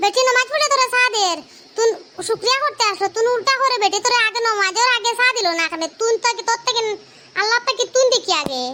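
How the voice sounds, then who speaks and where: This cartoonish character voice moves at a fairly quick pace, with ordinary pitch variation and very even loudness. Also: woman, extremely high pitch for a woman. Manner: complaining, self-righteous.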